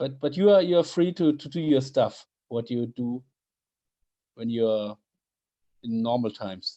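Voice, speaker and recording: A man speaks in a German accent with a dark, mellow tone. His intonation is lively, broken by long, frequent pauses. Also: medium pitch for a man, fairly slow pace. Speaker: podcast host. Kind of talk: casual chat. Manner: halting.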